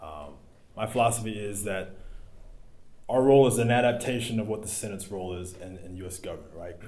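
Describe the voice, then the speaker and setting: A man with an American accent speaks fairly quickly in a dark, mellow, somewhat breathy voice at fairly low pitch, with ordinary pitch variation. He takes long, frequent pauses, and his loudness swings widely. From US South, South Carolina. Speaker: school board candidate, military veteran. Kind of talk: candidate forum answers. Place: meeting room.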